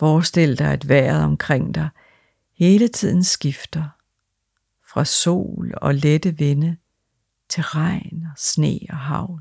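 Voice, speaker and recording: Woman with a calm, soothing tone at a very slow pace, with long, frequent pauses and a dry, close sound with no echo. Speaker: meditation guide. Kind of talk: guided meditation. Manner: slow, calm and soothing, with long pauses between short phrases; soft-spoken and steady, repeating breath cues in a rhythmic way.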